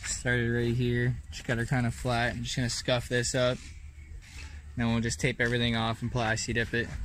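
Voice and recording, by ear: A man talks at a moderate pace at a medium pitch. His tone is fairly bright, and his intonation is monotone and flat.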